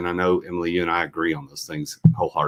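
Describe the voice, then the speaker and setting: Talking at a very fast pace, a man with a slight Southern accent uses lively intonation. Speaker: entrepreneur and business coach. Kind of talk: podcast interview.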